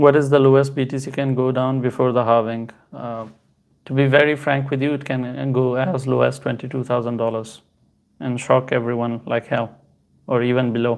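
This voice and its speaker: With a non-native accent, a man talks at a moderate pace in a medium pitch, his intonation flat and monotone. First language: not Hindi. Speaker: crypto streamer. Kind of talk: live stream Q&A. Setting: live stream on two platforms. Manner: casual, halting with fillers.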